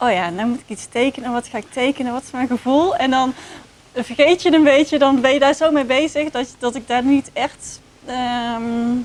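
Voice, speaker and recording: Over noticeable background noise, a woman with a Dutch accent speaks at a moderate pace and a high pitch, with big swings in loudness. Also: ordinary pitch variation. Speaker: research participant. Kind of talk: casual chat. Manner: halting.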